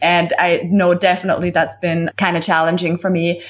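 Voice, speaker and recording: A woman's animated voice at a moderate pace, medium in pitch, with a German accent. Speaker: copywriter and business coach. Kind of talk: casual interview chat. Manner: animated, laughs often.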